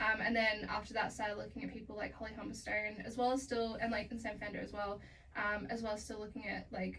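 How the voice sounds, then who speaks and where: A woman with an Australian accent talks very fast in a fairly high, monotone voice, with audible room echo and noticeable background noise. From Australia, Melbourne. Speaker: singer-songwriter. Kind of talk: casual interview chat.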